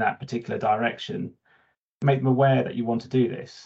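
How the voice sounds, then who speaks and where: A man with a British accent. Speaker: tech manager. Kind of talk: panel discussion. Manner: halting, many fillers.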